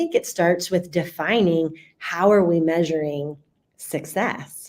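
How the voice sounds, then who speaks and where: Here is a plain, everyday voice with an American accent. It moves at a fairly slow pace with fairly even intonation. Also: woman. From US South, Central Florida. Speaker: customer experience speaker and author. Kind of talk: podcast interview. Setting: studio.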